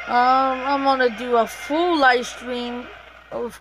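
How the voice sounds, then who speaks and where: A woman speaks in a high voice. Music plays in the background. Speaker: gaming YouTuber. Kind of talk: gameplay commentary. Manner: casual, filler-heavy.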